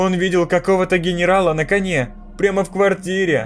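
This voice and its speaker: Clear music in the background behind a man in a put-on character voice, high-pitched and at a fairly quick pace. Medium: read story. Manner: timid, polite.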